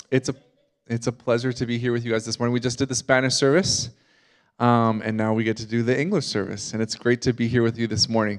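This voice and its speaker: On a very clean recording with a silent background, a man with a slight Canadian accent talks at a medium pitch and a fairly quick pace. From Canada. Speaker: guest preacher. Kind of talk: sermon. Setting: church service with congregation. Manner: casual, conversational with fillers.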